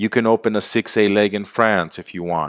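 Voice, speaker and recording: Recorded very cleanly against a silent background, a man's fairly low voice comes through with a dry, close sound and no echo. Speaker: sales presenter. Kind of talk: sales pitch. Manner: animated.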